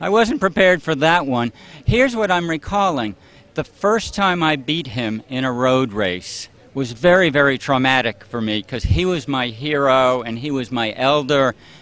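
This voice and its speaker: Speaking in an ordinary speaking voice, a man uses lively intonation at a medium pitch and a moderate pace. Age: 60s. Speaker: marathon runner. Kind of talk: interview.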